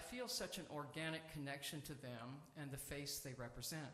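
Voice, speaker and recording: A man with a fairly high pitch talks at a moderate pace in a room with audible echo. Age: 70s. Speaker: seminarian preacher. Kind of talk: sermon. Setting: church sanctuary.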